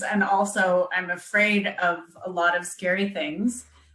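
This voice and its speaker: There is noticeable background noise as a woman with a Canadian accent speaks at a medium pitch. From Canada. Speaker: copywriter, business owner. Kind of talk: casual interview chat.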